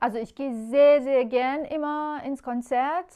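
Over a quiet background, a woman speaks at a fairly slow pace. Her tone is dark and mellow. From Iran. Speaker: composer. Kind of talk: interview. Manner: hesitant, many filler sounds. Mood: warm, smiling. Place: home room. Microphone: lapel.

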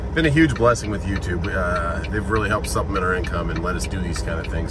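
A man's very fast speech, dry with no echo, against loud background noise. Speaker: truck driver vlogger. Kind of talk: casual vlog chat. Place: car. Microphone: phone near.

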